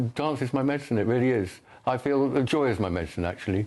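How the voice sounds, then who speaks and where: Over a quiet background, a man with a dark, mellow tone and medium pitch talks at a very fast pace. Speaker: person with Parkinson's, dancer. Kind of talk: TV interview. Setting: TV studio. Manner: halting.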